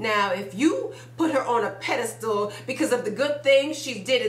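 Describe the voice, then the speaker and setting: A woman's high-pitched voice, with ordinary pitch variation, comes through noticeable background noise. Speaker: spoken word poet. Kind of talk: spoken word poetry performance. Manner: blunt, forceful.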